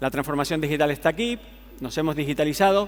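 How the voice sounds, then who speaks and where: A man with a Canarian accent and a fairly high pitch speaks at a very fast pace. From Canary Islands. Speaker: tech company executive, conference speaker. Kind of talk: conference keynote. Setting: stage with audience.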